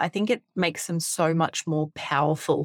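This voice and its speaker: A woman speaks with an Australian accent. The recording is very clean, with a silent background and a dry, close sound with no echo. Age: 30s. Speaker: podcast host, teacher. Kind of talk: solo reflective podcast monologue.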